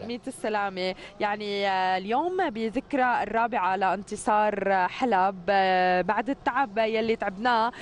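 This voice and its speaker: A woman speaks in an ordinary speaking voice, fairly high in pitch and at a fairly slow pace, with ordinary pitch variation. The sound is dry with no echo, over light background noise. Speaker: TV morning show presenter. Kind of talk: TV interview questions. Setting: outdoors. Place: street. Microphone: handheld.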